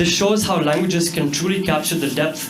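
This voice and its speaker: Speaking at a fairly quick pace in an Indian accent, a man with a fairly high pitch and ordinary pitch variation is heard over noticeable background noise and audible room echo. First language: Hindi. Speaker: student presenter. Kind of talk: class presentation.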